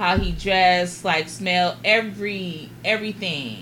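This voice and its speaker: With audible room echo, a woman with an American accent speaks fairly slowly at a fairly low pitch with ordinary pitch variation. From Los Angeles, California. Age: 40s. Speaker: guest. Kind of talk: casual chat.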